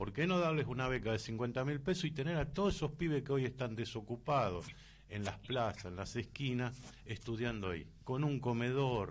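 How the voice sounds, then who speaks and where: At a moderate pace, a plain, everyday voice speaks with lively intonation. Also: man, medium pitch for a man. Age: 60s. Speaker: radio host. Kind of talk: radio interview.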